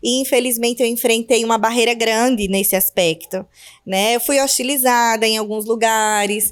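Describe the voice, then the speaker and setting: At a moderate pace, a woman with an Alagoas accent speaks at a fairly high pitch with fairly even intonation. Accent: northeastern Brazilian (Alagoas). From Northeast Brazil, Maceió, Alagoas. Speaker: podcast host, businesswoman and mother. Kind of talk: casual podcast chat.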